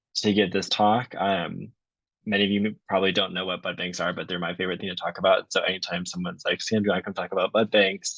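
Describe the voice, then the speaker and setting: In an American accent, a man talks at a very fast pace with monotone, flat intonation. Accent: strong Wisconsin accent, occasionally. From US Midwest, Wisconsin. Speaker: PhD candidate, ecologist. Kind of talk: lecture. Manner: conversational, filler-heavy.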